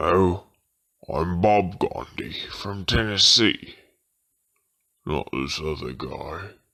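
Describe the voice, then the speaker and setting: A man's very deep, low put-on character voice, very slow, with long, frequent pauses and ordinary pitch variation. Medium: comedy sketch.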